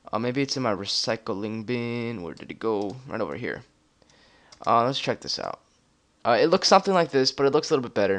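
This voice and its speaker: A man talks at a medium pitch and a fairly quick pace with lively intonation. His loudness swings widely. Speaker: YouTube tutorial creator. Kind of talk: tutorial. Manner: fast; hesitant, many fillers.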